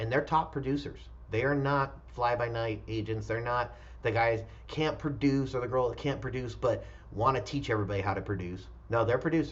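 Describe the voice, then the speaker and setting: This man talks at a fairly quick pace, with audible echo from the room. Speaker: real estate broker. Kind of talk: recruiting pitch. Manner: fast.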